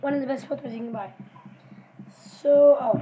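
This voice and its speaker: Noticeable background noise fills the recording. Through it, a woman talks in a high-pitched voice. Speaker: vlogger. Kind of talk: casual taste-test vlog. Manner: mouth full while talking.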